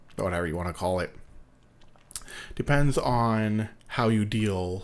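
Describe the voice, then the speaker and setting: On a very clean recording with a silent background, a man speaks quietly at a fairly slow pace. His pitch is fairly low, with ordinary variation. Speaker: youtuber discussing personality types. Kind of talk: casual late-night monologue. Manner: quiet, low-energy; halting, many fillers.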